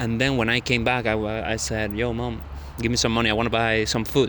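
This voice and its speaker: Audible room echo fills the space around this man. He talks fairly quickly at a medium pitch. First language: not English. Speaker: vlogger. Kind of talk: casual monologue vlog. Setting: outdoors in a park at night. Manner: halting.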